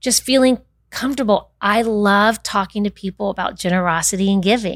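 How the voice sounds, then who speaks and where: At a moderate pace, a woman with a plain, everyday voice speaks in an American accent at a medium pitch with ordinary pitch variation, in a very clean recording with a silent background. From Winter Park, Florida (US South). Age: 50s. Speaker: non-profit founder, former wealth planner. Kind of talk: casual interview.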